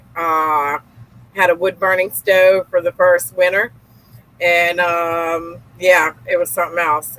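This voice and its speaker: Speaking at a very slow pace in a Gulf Coast accent, a woman has a bright, sharp tone at medium pitch, fairly even intonation, and a dry, close sound with no echo. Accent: Southern US (Gulf Coast). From US South, Louisiana and Mississippi. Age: 40s. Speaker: real estate investor. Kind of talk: podcast interview. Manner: casual, many fillers.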